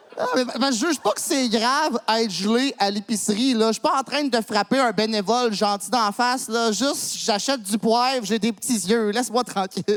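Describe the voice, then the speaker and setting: A man's extremely high voice with ordinary pitch variation and hardly any pauses, over noticeable background noise. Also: moderate pace. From Quebec, Montreal. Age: 30s. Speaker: comedian. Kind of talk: stand-up. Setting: stage with audience.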